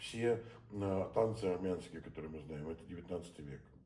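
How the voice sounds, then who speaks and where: Audible room echo surrounds a man's very deep, low voice. His voice is somewhat breathy and his pace moderate. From St. Petersburg, Russia. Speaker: theatre director. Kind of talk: conversational interview. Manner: hesitant, many filler sounds.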